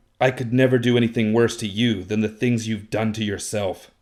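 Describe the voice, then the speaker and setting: A man performs a growling, put-on character voice at a medium pitch with monotone, flat intonation and a fairly quick pace. The recording is very clean, with a silent background. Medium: read story.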